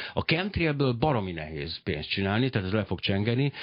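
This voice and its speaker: Talking at a fairly quick pace, a man with a fairly low pitch makes very wide pitch swings. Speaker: radio talk show host. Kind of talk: radio interview. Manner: fast.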